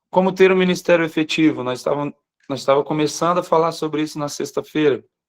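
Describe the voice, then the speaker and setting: The man's intonation stays fairly even, and the sound is dry and close with no echo. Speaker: pastor. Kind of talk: live online morning devotional sermon. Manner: slows down deliberately at times.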